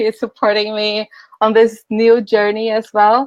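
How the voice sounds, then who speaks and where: Her fairly high-pitched voice moving at a fairly slow pace, a woman is heard in a dry, close sound with no echo. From Brazil. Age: 20s. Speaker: life coach.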